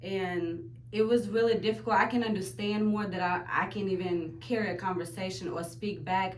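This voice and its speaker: Noticeable background noise and audible room echo fill the recording. The voice moves through very wide pitch swings. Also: woman. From Ukraine. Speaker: aspiring business owner. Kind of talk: interview testimony.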